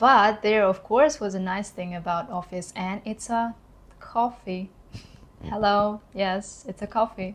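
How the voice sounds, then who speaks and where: A woman with a Kazakh accent speaks fairly slowly, her intonation fairly even. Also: medium pitch for a woman. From Kazakhstan. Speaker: YouTuber, former corporate employee. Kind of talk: vlog monologue.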